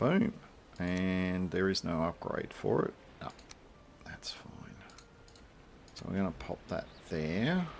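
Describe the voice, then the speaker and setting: Speaking at a very slow pace with an Australian accent, a man with very deep, low pitch and ordinary pitch variation leaves long, frequent pauses. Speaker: gaming streamer. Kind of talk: casual gameplay commentary. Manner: relaxed, filler-heavy.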